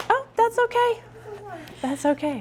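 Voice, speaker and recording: The pace is moderate as a woman talks. Noticeable background noise accompanies her. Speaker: conference speaker and author. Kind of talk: conference talk. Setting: conference room with live audience. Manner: loud, projecting.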